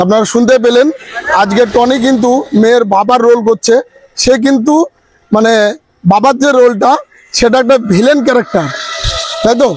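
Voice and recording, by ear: Talking at a fairly quick pace, a man has an extremely high pitch with ordinary pitch variation.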